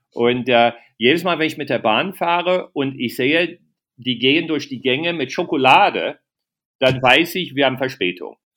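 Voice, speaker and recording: In an English accent, a man talks at a moderate pace. His pitch is fairly high, with ordinary pitch variation. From USA. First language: English (speaking German). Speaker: comedian. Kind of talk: casual interview.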